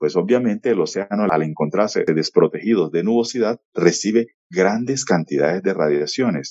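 Here is a man with a plain, everyday voice and a fairly low pitch. He talks at a moderate pace with lively intonation and hardly any pauses. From Colombian Caribbean coast, Valledupar. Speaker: meteorology professor. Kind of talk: radio interview. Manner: formal.

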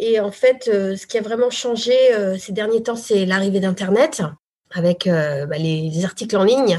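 Her tone is dark and mellow as the woman speaks at a very slow pace. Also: medium pitch for a woman, ordinary pitch variation. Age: 40s. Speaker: former journalist turned real estate agent. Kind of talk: interview about her career change.

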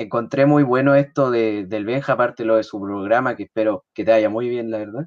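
This man speaks with ordinary pitch variation. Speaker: podcast panelist. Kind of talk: casual chat. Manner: halting.

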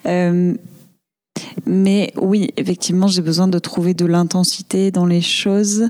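Talking at a very slow pace with long, frequent pauses, the speaker keeps very even loudness and fairly even intonation. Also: woman, medium pitch for a woman. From Marseille, southern France. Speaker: comedian and actress. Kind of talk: casual interview chat.

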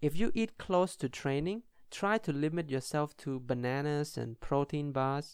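A man speaks at a fairly slow pace with ordinary pitch variation and a fairly high pitch. He has a normal speaking voice, and the recording is very clean with a silent background. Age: 20s. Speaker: podcast host and futsal player. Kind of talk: solo podcast monologue.

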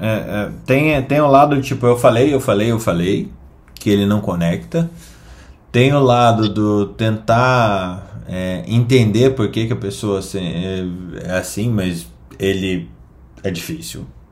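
The speech moves at a very slow pace with lively intonation. There is audible echo from the room. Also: man, fairly low pitch for a man. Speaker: medical news podcast host. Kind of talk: casual chat.

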